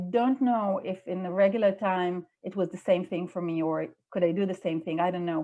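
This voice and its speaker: Her voice has a medium pitch for a woman and a dark, mellow tone. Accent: Israeli. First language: Hebrew. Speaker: executive director of a religious movement. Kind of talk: interview conversation. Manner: halting.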